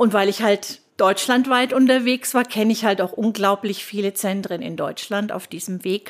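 The speaker has an unremarkable speaking voice, moving at a moderate pace with hardly any pauses and fairly even intonation. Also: woman, fairly high pitch for a woman. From Germany, Würzburg (Lower Franconia). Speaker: nurse and healthcare consultant. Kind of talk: interview.

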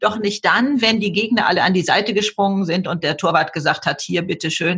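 A woman talks at a medium pitch. Her tone is bright and sharp. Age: 70s. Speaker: bestselling author and YouTuber. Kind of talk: interview. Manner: animated.

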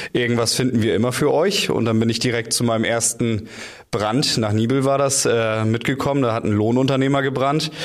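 Fairly quick speech at a very even loudness, with noticeable background noise and audible room echo. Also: man, medium pitch for a man, fairly even intonation. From North Frisia, Schleswig-Holstein. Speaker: radio journalist and firefighter trainee. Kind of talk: interview. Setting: studio. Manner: hesitant fillers.

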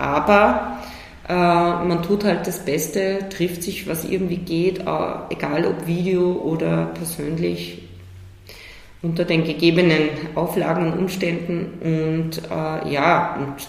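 Delivery is very slow, with long, frequent pauses. Background noise is noticeable. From Salzburg, Austria. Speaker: cultural manager. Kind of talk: interview.

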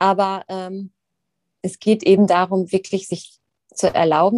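Her tone dark and mellow, a woman speaks at a moderate pace and a medium pitch. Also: dry, close sound with no echo. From Rhineland, Germany. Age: 30s. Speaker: yoga teacher. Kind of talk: interview, explanatory.

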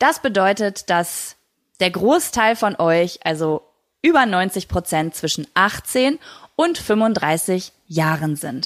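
A woman's very slow speech, medium in pitch, with lively intonation, on a very clean recording against a silent background. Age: 30s. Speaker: podcast host. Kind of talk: casual monologue.

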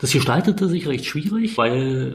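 Noticeable background noise and audible room echo accompany a man's speech. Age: 40s. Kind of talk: interview.

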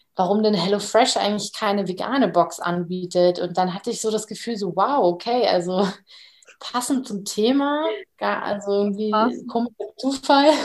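A woman with an ordinary speaking voice, at a medium pitch and a moderate pace. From Bavaria. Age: 20s. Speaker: startup co-founder and design student. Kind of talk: casual interview chat.

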